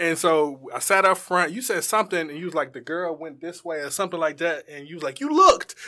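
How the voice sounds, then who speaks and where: The speech comes very fast with hardly any pauses, its loudness swinging widely and its pitch varying in an ordinary way. Noticeable background noise sits behind it. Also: man, high pitch for a man. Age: 30s. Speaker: podcast host. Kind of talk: casual interview chat. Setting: studio.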